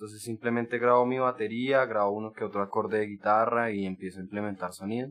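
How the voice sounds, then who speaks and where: A man's fairly low voice at a very fast clip, fairly even in intonation, with hardly any pauses and a quiet background. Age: 20s. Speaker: techno DJ and producer. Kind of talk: casual interview.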